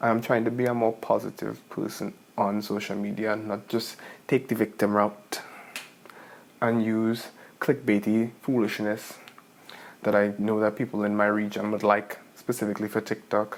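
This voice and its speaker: Soft-spoken and fairly low in pitch, a man talks at a moderate pace in a monotone, flat intonation, with long, frequent pauses. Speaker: manifestation vlogger. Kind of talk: casual vlog monologue. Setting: at home late at night.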